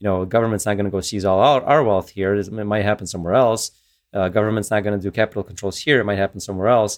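A man's fairly low voice at a very fast pace. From former Soviet Union. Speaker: tech entrepreneur and software developer. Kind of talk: interview conversation.

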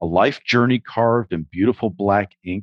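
A man speaks at a fairly low pitch and a fairly slow pace, his intonation lively. The sound is dry and close with no echo, over a quiet background. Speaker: podcast host and theater director. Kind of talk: casual interview chat. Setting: video call.

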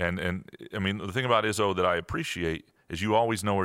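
A man with a plain, everyday voice talks at a fairly quick pace and fairly low pitch with ordinary pitch variation, on a very clean recording with a silent background. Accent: American. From Michigan, Lansing. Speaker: sports columnist. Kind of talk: interview.

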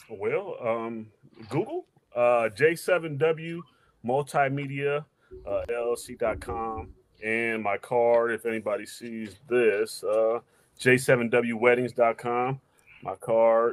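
This voice moves at a very slow pace, broken by long, frequent pauses, with ordinary pitch variation. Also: man, medium pitch for a man. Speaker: small business owner, videographer. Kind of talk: casual chat.

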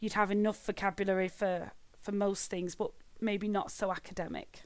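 The speaker has a Mancunian accent and a moderate pace. The recording is very clean, with a silent background. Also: woman. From Greater Manchester, northern England. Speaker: head of English as an additional language at a college. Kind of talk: interview. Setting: at home.

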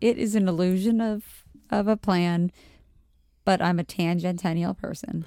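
This dark, mellow voice moves at a fairly slow pace with fairly even intonation and long, frequent pauses, recorded very cleanly against a silent background with a dry, close sound and no echo. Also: woman, medium pitch for a woman. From Montgomery County, Maryland, near DC. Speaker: friend of the host. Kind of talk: casual chat. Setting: at home.

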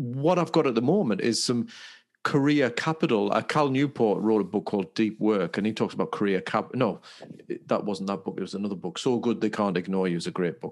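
An ordinary speaking voice with lively intonation moves at a fairly quick pace over a quiet background. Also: man, medium pitch for a man. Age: 50s. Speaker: podcast co-host and wellbeing coach. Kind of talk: casual chat.

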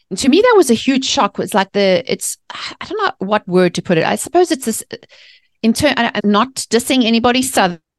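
With a South African accent, a woman talks at a fairly quick pace and fairly high pitch with very wide pitch swings, in a dry, close sound with no echo. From South Africa, Johannesburg. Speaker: mindset author and speaker. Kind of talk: interview conversation. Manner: animated.

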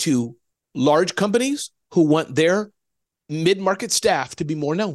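Against a quiet background and in a dry, close sound with no echo, a man talks with lively intonation at a fairly high pitch. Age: 50s. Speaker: entrepreneur and author. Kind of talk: interview. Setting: remote recording from home office. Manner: fast.

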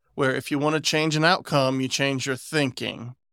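A bright, sharp tone with an American accent, fairly even intonation and a fairly quick pace, in a dry, close sound with no echo on a very clean recording with a silent background. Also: man. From West Virginia. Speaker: podcast host. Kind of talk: casual chat.

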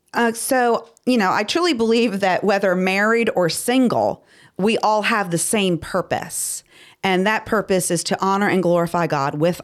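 In a very clean recording with a silent background, a woman speaks fairly slowly at a medium pitch with ordinary pitch variation, a normal speaking voice. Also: very even loudness. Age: 50s. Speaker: podcast co-host. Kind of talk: casual chat.

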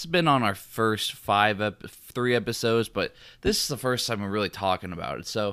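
In a very clean recording with a silent background, a man with a plain, everyday voice speaks at a moderate pace, using a medium pitch and lively intonation. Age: 20s. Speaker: sports podcast host. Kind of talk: casual chat.

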